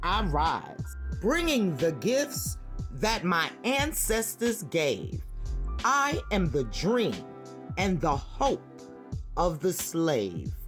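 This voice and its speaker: Over background music, a woman talks at a very slow pace with long, frequent pauses and very even loudness. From Brooklyn, New York. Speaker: retired nurse. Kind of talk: poetry reading.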